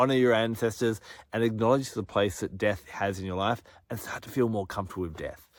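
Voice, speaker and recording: Speaking in an Australian accent, a man sounds animated, with a fairly low pitch and ordinary pitch variation. He talks at a fairly quick pace on a very clean recording with a silent background. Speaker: astrology and crystal presenter. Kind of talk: monologue forecast to camera. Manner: fast.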